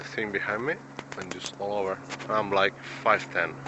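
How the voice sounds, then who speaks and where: A man's fairly slow speech, dry with no echo, over noticeable background noise. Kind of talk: casual vlog chat. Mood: relaxed, content. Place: forest. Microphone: phone near.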